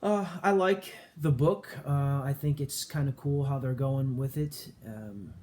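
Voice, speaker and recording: A somewhat breathy, fairly high-pitched man with a dark, mellow tone, very slow yet with hardly any pauses, and ordinary pitch variation. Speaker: comic book collector youtuber. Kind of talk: casual haul video talk. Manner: quiet; hesitant with many fillers.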